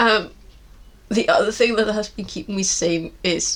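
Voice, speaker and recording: With vocal fry in her voice, a woman talks at a fairly slow pace. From Iceland. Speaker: knitting podcaster. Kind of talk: casual talk to camera.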